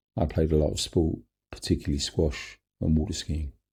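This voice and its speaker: With a London accent, a man speaks in a very deep, low pitch, his tone dark and mellow and somewhat breathy. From London, England. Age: 70s. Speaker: cancer survivor telling his story. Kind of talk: personal memoir narration.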